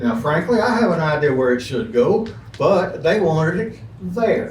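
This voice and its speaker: With an Alabama accent, a man speaks at a fairly high pitch with very wide pitch swings, over noticeable background noise and audible room echo. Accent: Southern US (Alabama). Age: 70s. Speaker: public commenter at city council. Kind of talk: public comment speech.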